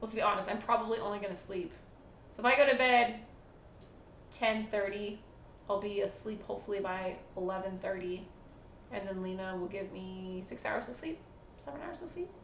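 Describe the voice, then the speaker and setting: A woman speaks at a fairly quick pace and a medium pitch, with long, frequent pauses. Her loudness swings widely, and there is audible room echo. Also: ordinary pitch variation. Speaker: live streamer. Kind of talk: casual live stream chat. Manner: quiet, hushed.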